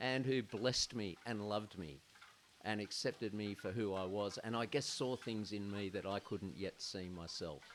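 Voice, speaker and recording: A man speaks at a fairly slow pace. His voice is fairly low in pitch, with ordinary pitch variation. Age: 60s. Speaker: men's group founder. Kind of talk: podcast interview, personal testimony. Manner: halting, with fillers.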